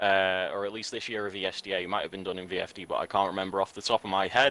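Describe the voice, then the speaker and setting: A man with an English accent speaks at a very fast pace with a fairly low pitch and monotone, flat intonation. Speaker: esports commentator. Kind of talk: live commentary.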